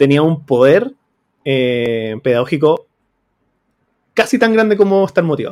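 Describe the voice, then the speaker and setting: Speaking with a Chilean accent, a man uses lively intonation at a fairly high pitch. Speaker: teacher and podcast host. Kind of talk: casual chat.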